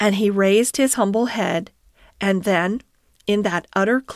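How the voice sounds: Just a natural reading voice.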